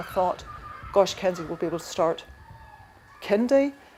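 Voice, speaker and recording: Noticeable background noise accompanies a woman talking at a moderate pace with a medium pitch. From Ireland. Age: 40s. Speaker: bereaved mother, cancer survivor. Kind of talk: testimony.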